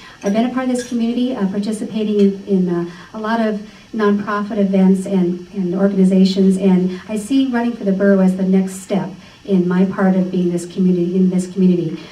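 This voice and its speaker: With fairly even intonation, a woman talks through audible room echo and noticeable background noise. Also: medium pitch for a woman, fairly quick pace. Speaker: political candidate. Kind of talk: campaign speech. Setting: meeting room with microphone.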